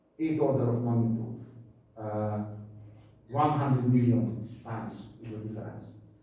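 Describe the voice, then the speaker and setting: A man speaks with ordinary pitch variation. Noticeable background noise and audible room echo come through the recording. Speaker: university physics lecturer. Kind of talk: lecture. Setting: lecture hall. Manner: loud; halting.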